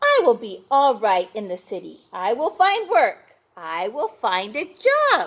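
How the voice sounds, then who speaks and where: A woman puts on a character voice pitched fairly high. She talks at a fairly slow pace with hardly any pauses. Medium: read story. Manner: simple, cheerful.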